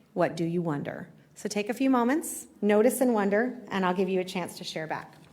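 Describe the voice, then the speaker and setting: Lively intonation marks this woman's speech, with audible room echo around it. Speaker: history professor. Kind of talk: public lecture. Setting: live talk with audience. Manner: fast.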